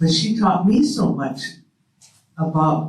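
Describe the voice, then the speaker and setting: The speech moves at a very slow pace with ordinary pitch variation and audible room echo. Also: man. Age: 80s. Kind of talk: panel discussion. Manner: halting.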